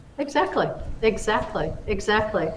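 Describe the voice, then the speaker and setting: There is audible room echo and noticeable background noise. Through it, a woman speaks at a medium pitch. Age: 60s. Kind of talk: casual chat.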